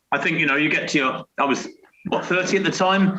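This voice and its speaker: This man has a British accent. He talks fairly quickly. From Britain. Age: 60s. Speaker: retired elite distance runner. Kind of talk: interview. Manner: hesitant, many fillers and repetitions.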